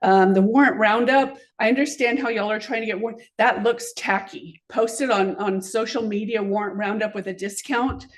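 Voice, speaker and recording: A woman with an American accent and a fairly high pitch, ordinary pitch variation, hardly any pauses, and audible room echo. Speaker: business owner, public commenter. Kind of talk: public comment at council meeting. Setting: city council meeting. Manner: fast.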